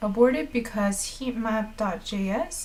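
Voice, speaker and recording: Lively intonation marks a woman's fairly high voice as she speaks at a very slow pace amid audible room echo. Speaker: live-streaming developer. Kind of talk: live coding stream. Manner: casual, thinking aloud with fillers.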